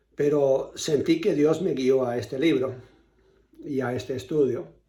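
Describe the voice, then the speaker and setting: A man's somewhat breathy voice, fairly high in pitch with a dark, mellow tone, at a fairly slow pace amid audible room echo. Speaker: pastor. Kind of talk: sermon.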